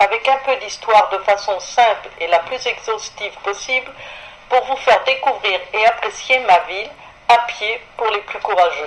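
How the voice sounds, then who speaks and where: Fairly high-pitched woman's voice with ordinary pitch variation, at a fairly slow pace amid noticeable background noise. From France, Paris. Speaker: radio columnist. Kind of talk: radio chronicle, scripted travel narration. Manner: formal.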